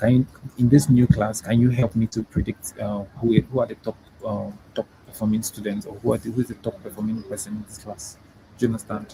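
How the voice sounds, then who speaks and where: The man's tone is dark and mellow, somewhat breathy. He speaks at a fairly quick pace. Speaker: machine learning researcher and pharmacy student. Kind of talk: interview, explaining technical concepts. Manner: halting, many fillers.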